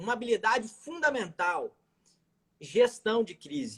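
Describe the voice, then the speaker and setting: A man with a Minas Gerais accent talks at a fairly slow pace. His pitch is extremely high. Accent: mineiro (Minas Gerais). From Minas Gerais, Brazil. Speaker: criminal lawyer. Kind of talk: live stream interview.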